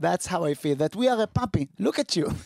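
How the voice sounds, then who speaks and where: A man with an Israeli accent speaks at a fairly high pitch with lively intonation. The sound is dry and close, without echo. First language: Hebrew. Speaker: comedian, podcast co-host. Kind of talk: casual chat.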